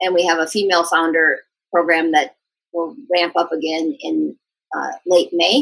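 At a moderate pace, a woman talks in a normal speaking voice, fairly low in pitch, with ordinary pitch variation. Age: 40s. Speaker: innovation hub CEO. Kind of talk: interview conversation.

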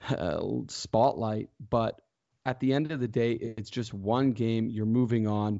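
At a fairly slow pace, a man speaks in a medium pitch. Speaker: podcast host. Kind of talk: solo sports commentary and interview. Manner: animated, frustrated.

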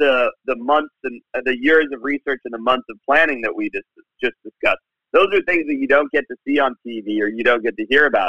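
An ordinary speaking voice moves at a fairly quick pace. Its pitch varies an ordinary amount. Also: man, fairly high pitch for a man. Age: 30s. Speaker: wildlife biologist. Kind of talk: interview. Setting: phone call.

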